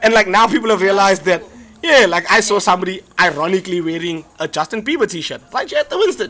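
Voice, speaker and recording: A man speaks at a very fast pace in a raised, projected voice that is high-pitched, bright and sharp. His tone is animated, his intonation lively, and his loudness swings widely. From South Africa. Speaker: comedian and podcast co-host. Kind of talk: casual chat. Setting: live in a pub.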